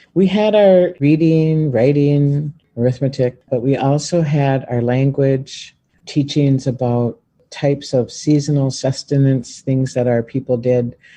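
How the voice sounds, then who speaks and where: A man's somewhat breathy, dark, mellow voice at fairly high pitch, with ordinary pitch variation, very even loudness and a fairly slow pace. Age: 60s. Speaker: former student, Native community member. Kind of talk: interview testimony.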